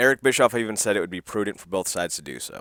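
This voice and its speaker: Very fast and bright, sharp in tone, a man's voice shows vocal fry on a very clean recording with a silent background. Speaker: wrestling commentator vlogger. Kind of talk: casual solo commentary. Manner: stutters and stammers; casual, conversational.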